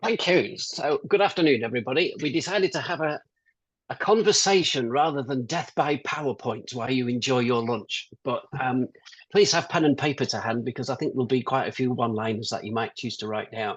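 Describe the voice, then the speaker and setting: Against a quiet background, a man with a British accent talks fairly quickly at a medium pitch, his intonation lively. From UK. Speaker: business consultant. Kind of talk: webinar interview.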